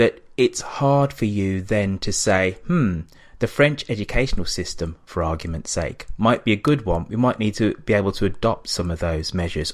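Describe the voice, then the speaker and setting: Fairly low in pitch, a man speaks with an English accent at a fairly slow pace. The recording is very clean, with a silent background. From England. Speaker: podcast host, guest interviewer. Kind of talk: interview discussion on politics. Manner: hesitant with fillers.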